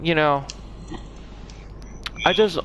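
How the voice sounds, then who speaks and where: A man talks at a moderate pace, with noticeable background noise around him. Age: 20s. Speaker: gaming YouTuber. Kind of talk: casual vlog monologue. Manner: halting.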